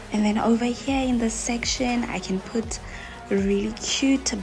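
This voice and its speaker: Faint music sits in the background. Over it, a woman talks at a fairly slow pace. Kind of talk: casual vlog chat. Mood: excited, delighted. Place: kitchen. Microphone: phone near.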